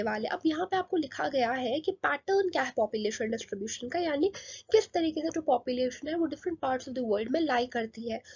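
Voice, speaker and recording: Her voice sits high for a woman. She uses lively intonation. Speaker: online teacher. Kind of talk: lecture. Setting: recorded video lesson. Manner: quieter, softer than usual.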